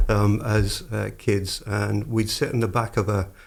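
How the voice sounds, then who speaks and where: A man with a Scottish accent speaks at a fairly slow pace in a fairly low voice with vocal fry. His intonation is fairly even, and the recording is very clean with a silent background. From Scotland, Dumfriesshire. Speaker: podcast host. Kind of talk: interview.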